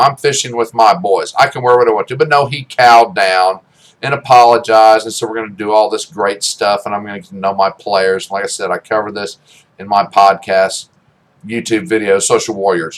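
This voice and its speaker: An animated tone at a moderate pace, with big swings in loudness and ordinary pitch variation. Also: man. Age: 60s. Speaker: podcaster and YouTuber. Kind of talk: opinion rant.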